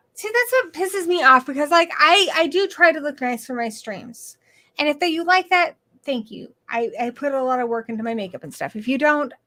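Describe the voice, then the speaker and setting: Raised and projected, a woman's high-pitched voice has a bright, sharp tone, very wide pitch swings, big swings in loudness and a fairly quick pace. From England, Ipswich, Suffolk. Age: 40s. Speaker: horror movie YouTuber. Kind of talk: casual chat. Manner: animated.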